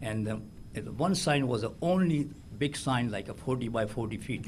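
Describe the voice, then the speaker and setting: A man speaks at a medium pitch with a somewhat breathy quality. Audible room echo surrounds his voice. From India. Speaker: award recipient, business owner. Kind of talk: acceptance speech. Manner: halting.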